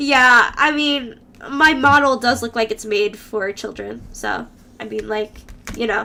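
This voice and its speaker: Animated in tone, a woman speaks at a high pitch and a fairly slow pace with ordinary pitch variation. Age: 20s. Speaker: streamer doing tarot readings. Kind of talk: casual live-stream chat. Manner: animated, giggly.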